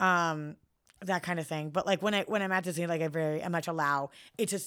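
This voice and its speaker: Heard in a very clean recording over a silent background, a plain, everyday voice with an American accent moves at a fairly quick pace, with ordinary pitch variation. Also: woman. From San Francisco, US West Coast. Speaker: pop culture fan, friend of host. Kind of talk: casual chat.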